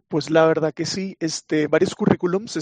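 A man's fairly high voice at a fairly quick pace, an unremarkable speaking voice with dry, close sound and no echo. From Venezuela. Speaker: chatbot developer. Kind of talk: casual interview chat.

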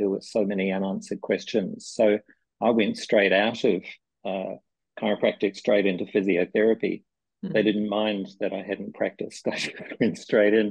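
A man with a New Zealand accent at a moderate pace. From New Zealand, small town. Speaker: physiotherapy researcher. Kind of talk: interview.

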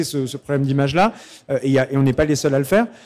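Noticeable background noise sits behind a man's voice. He speaks at a fairly high pitch with ordinary pitch variation. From Normandy, Pays de Caux. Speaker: calvados producer. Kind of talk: stage interview. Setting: festival stage with audience. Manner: hesitant, many repetitions.

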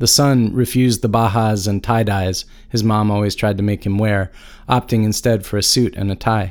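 Over a very clean recording with a silent background, a man in a plain, everyday voice speaks at a fairly low pitch and moderate pace with fairly even intonation. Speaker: podcast host. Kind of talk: interview, with scripted narration and story reading. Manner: reflective, thoughtful.

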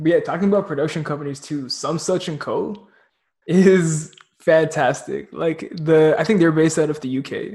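A man's plain, everyday voice, fairly high in pitch, with fairly even intonation at a moderate pace. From Toronto, Canada. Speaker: podcast host and filmmaker. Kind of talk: casual interview chat.

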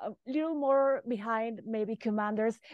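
A woman with a Spanish accent talks at a fairly slow pace and high pitch with ordinary pitch variation, recorded dry and close with no echo. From Mexico. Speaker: football podcast host. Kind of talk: podcast interview.

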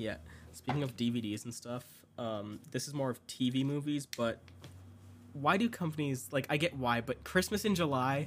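A man with a plain, everyday voice speaks at a medium pitch and a moderate pace. His intonation is lively, and the recording is very clean with a silent background. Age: young. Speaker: film student. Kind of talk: casual chat.

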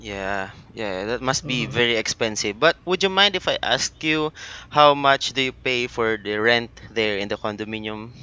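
Lively intonation marks this moderate-paced delivery in a Filipino accent. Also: man, medium pitch for a man. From Philippines. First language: Filipino language. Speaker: pediatric therapist hosting podcast. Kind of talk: casual chat. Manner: halting.

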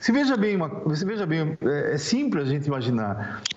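A man's lively intonation against noticeable background noise and audible room echo. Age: 60s. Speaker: public prosecutor. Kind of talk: interview. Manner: halting.

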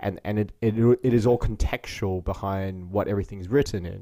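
This man has a fairly low pitch and a dark, mellow tone, with ordinary pitch variation. He talks at a moderate pace with an Australian accent. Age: 30s. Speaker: podcast host. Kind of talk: casual interview chat. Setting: video call.

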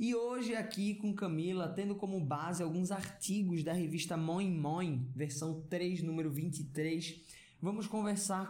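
A high-pitched man talks at a fairly slow pace with ordinary pitch variation, with audible room echo and noticeable background noise. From Pernambuco, Brazil. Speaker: actor and podcast co-host. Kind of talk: interview.

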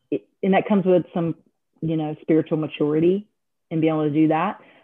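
Here is a woman with an ordinary speaking voice, pitched fairly low. Her intonation is fairly even. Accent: American. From North Carolina. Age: 50s. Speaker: gym franchise owner. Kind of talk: interview.

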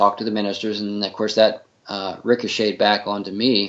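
A man speaks with an American accent. His voice is fairly low and his pace fairly quick. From Northern Virginia, US. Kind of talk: interview. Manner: halting, many fillers.

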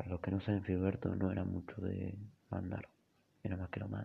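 A man's very deep, low voice stays monotone and flat. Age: 30s. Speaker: storyteller. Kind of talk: storytelling monologue. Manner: halting, with many fillers and repetitions.

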